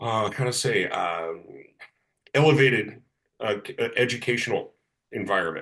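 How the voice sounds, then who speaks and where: A man speaks at a moderate pace with a Californian accent. His speech has long, frequent pauses. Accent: American, Californian. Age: 60s. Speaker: person in recovery. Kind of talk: casual interview conversation. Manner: halting, many fillers.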